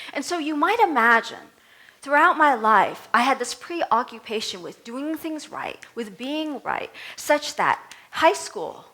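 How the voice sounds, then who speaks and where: Speaking in a raised, projected voice with a Vietnamese accent, the speaker moves at a fairly slow pace through very wide pitch swings. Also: woman, high pitch for a woman. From Vietnam, raised in US. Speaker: minister. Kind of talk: sermon. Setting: church service.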